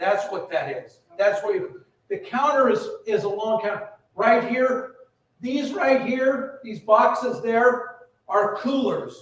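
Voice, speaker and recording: A man talks at a fairly slow pace, with audible echo in the room. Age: 60s. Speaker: retirement community administrator. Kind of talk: town hall meeting presentation. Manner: casual, repetitive with false starts.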